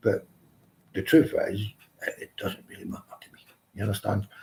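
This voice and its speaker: A fairly low-pitched man's voice with a Glaswegian accent, dark and mellow in tone and somewhat breathy. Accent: Glaswegian Scottish. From Scotland, Glasgow. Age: 60s. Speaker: live stream host. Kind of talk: casual chat. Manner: halting.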